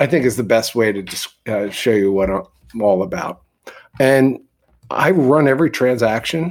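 A man's ordinary speaking voice at a moderate pace with ordinary pitch variation, in a very clean recording with a silent background. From US East Coast, Philadelphia. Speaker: real estate broker. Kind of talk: casual chat.

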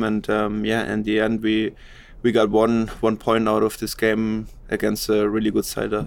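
A man with a German accent speaks at a moderate pace and medium pitch. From Germany. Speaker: professional footballer. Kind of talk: interview.

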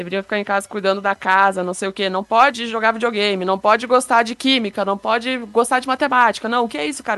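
A woman talks at a very fast pace in a bright, sharp tone. The sound is dry and close, with no echo. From Brazil. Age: 20s. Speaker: software developer, dance game player. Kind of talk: casual podcast interview.

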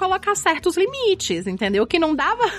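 The speaker talks at a fairly quick pace with very wide pitch swings. Noticeable background noise is present. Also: woman. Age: 30s. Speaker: podcast co-host, educator and writer. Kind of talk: casual chat.

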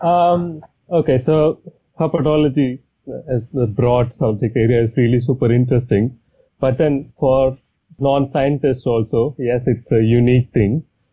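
At a moderate pace and medium pitch, a man speaks in a dark, mellow, somewhat breathy tone, his loudness very even and his pitch variation ordinary. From India, Chennai. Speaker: herpetologist. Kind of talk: interview.

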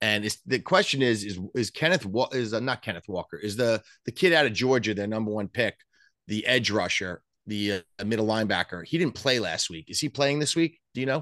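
A man with a New York accent and a bright, sharp tone, fairly quick and lively in intonation, dry and close with no echo over a quiet background. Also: medium pitch for a man. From Long Island, New York. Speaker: sports betting podcast co-host. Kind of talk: casual chat. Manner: animated.

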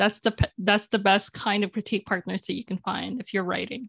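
A woman talks in a normal speaking voice with fairly even intonation. The sound is dry and close with no echo, and the recording is very clean against a silent background. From Philippines, raised in Canada. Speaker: novelist. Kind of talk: casual interview.

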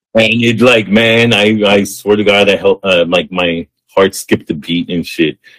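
A man with an American accent speaks at a moderate pace with hardly any pauses, in an unremarkable speaking voice of fairly low pitch. His intonation stays fairly even, and the sound is dry and close with no echo. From US-Mexico border area. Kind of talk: casual chat.

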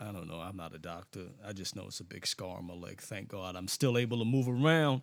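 Someone speaks at a fairly quick pace. The recording is very clean, with a silent background. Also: man. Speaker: podcast host. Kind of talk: casual chat. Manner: animated.

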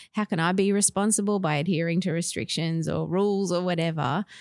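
Australian accent from a woman with a fairly low voice, ordinary pitch variation and a moderate pace, dry and close with no echo, on a very clean recording with a silent background. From Western Australia, Perth. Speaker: school chaplain. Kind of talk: interview.

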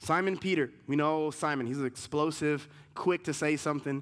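This man has a normal speaking voice, fairly high in pitch, and talks at a moderate pace. The recording is very clean, with a silent background. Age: 40s. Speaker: pastor. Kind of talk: sermon.

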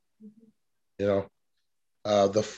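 A man speaks with an American accent. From Oakland, California. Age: 40s. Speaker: podcast host. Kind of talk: podcast interview.

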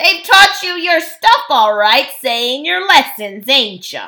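Putting on a growling character voice, a woman speaks slowly at a high pitch with big pitch swings and a bright, sharp tone.

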